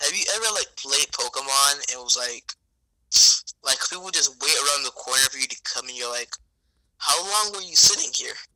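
A man talks at a fairly quick pace with lively intonation and a fairly high pitch. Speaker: gamer friend. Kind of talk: casual gameplay chat. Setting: online voice call. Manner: animated.

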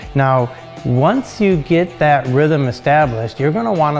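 Faint music plays in the background while the speaker talks at a moderate pace. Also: man. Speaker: welding instructor. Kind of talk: tutorial. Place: workshop. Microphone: lapel.

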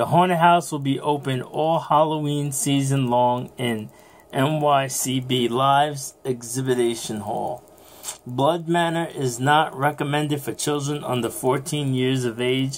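A man at a very slow pace with fairly even intonation. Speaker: vlogger. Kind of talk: casual vlog chat reading event info. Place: home room. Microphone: phone near.

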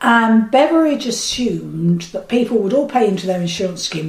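A woman talking at a fairly quick pace amid noticeable background noise. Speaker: retired social worker. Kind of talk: interview. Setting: home kitchen.

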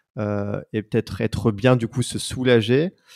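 Against a quiet background, a man talks at medium pitch with ordinary pitch variation. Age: 30s. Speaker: podcast host. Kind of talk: casual interview. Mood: warm, attentive. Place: home room. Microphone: handheld.

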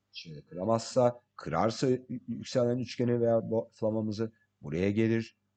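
A man speaks at a medium pitch and a fairly slow pace. His tone is dark and mellow. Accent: slight non-native. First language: English (speaking Turkish). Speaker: crypto market analyst. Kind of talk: tutorial. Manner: halting.

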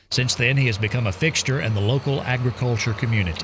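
At a very fast pace, a man talks in a medium, somewhat breathy voice with ordinary pitch variation in a very clean recording with a silent background. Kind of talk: news report narration.

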